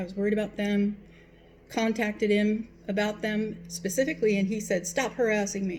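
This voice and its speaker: This woman speaks at a medium pitch in a somewhat breathy voice. Her intonation is monotone and flat. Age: 60s. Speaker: vlogger. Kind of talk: personal vlog monologue. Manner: hesitant, with fillers.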